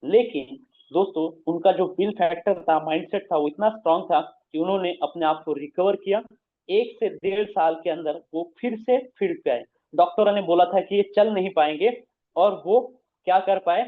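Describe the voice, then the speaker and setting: Here a man speaks with a Marathi accent and a high pitch. His pitch varies in an ordinary way. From Maharashtra, India. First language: Marathi (speaking Hindi). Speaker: business presenter. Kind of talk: motivational talk. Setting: video call.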